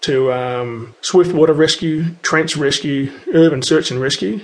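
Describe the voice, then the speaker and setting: A man's fairly high voice with an Australian accent and fairly even intonation. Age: 40s. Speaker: firefighter. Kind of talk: interview monologue. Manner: hesitant with fillers.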